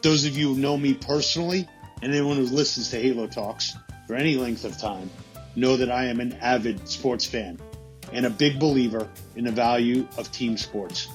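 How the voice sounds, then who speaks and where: Music plays in the background as a man speaks. His pitch is medium, with ordinary variation. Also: moderate pace. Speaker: podcast host. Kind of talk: book promo read.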